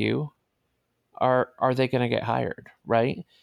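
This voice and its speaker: A man speaks in a plain, everyday voice with an American accent, at a medium pitch and moderate pace. The recording is very clean with a silent background, and the sound is dry and close with no echo. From New York City (Brooklyn). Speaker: technologist, teacher and documentary filmmaker. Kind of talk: casual interview.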